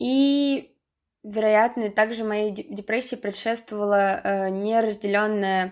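Speaking at a very slow pace with long, frequent pauses, a woman uses a fairly high pitch with ordinary variation in a very clean recording over a silent background. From Russia, Saint Petersburg. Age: 20s. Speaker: university student sharing depression story. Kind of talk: personal testimony.

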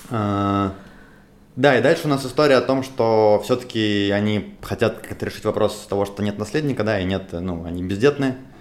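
Here a man speaks in a normal speaking voice with a fairly low pitch. His pitch varies in an ordinary way, and his pace is moderate. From Russia, Moscow. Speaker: podcast host. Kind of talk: casual discussion.

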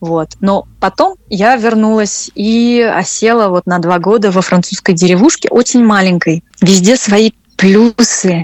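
Her pace is very slow. A woman talks at a medium pitch with ordinary pitch variation. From Russia. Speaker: French teacher. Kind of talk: interview conversation. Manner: hesitant, with repetitions.

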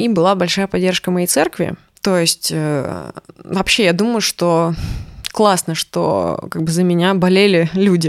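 A woman with a normal speaking voice talks at a fairly slow pace and medium pitch, with ordinary pitch variation, in a dry, close recording with no echo, a very clean signal and a silent background. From Russia, Urals (Chelyabinsk). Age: 30s. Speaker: musician. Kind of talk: casual chat.

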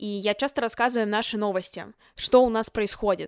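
On a very clean recording with a silent background, a woman speaks at a fairly quick pace in an animated tone. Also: dry, close sound with no echo. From Russia, Chelyabinsk (Southern Urals). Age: young. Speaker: podcast host, journalism student. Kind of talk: solo podcast talk.

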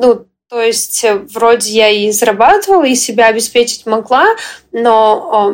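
With ordinary pitch variation, the voice proceeds fairly slowly. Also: woman. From Western Ukraine. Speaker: entrepreneur and blogger. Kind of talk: interview. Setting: video call. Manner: energetic.

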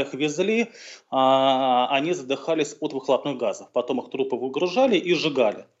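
An unremarkable speaking voice, a man talks at a moderate pace with lively intonation. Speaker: historian. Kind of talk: interview. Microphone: connection dropped briefly.

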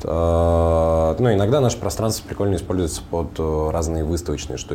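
A man's very deep, low voice at a moderate pace, with ordinary pitch variation, audible room echo and noticeable background noise. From Russian Far North, Komi (Vorkuta area). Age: 30s. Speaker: tech startup founder. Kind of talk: casual interview.

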